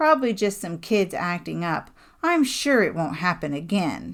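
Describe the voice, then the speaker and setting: In a put-on character voice, a female-sounding speaker with a raspy, medium pitch talks at a moderate pace in a very clean recording with a silent background. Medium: read story. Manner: gruff, bossy, menacing.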